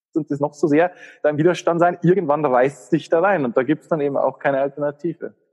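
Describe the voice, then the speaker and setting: A dry, close sound with no echo, speech at a very fast pace. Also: man, fairly high pitch for a man, fairly even intonation. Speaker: spiritual coach and healer. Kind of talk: casual interview conversation.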